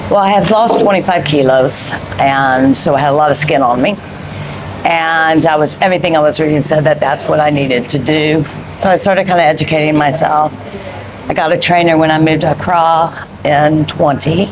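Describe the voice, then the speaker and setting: Noticeable background noise and audible room echo surround this recording. A woman with a very deep, low pitch speaks at a moderate pace. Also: ordinary pitch variation, very even loudness. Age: 50s. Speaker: interviewee on fitness. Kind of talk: interview. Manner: hesitant, many ums.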